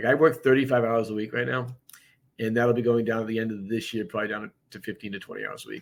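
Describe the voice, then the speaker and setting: Over a very clean, silent background, a man with an American accent talks very fast with big swings in loudness. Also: medium pitch for a man. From Boston, US. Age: 60s. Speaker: real estate broker and business owner. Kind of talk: podcast interview. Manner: animated.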